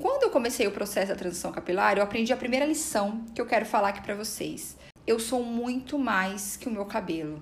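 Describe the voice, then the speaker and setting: Against noticeable background noise, a woman speaks at a fairly high pitch with lively intonation and a fairly quick pace. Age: 30s. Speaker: psychologist and podcast host. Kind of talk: personal testimony monologue.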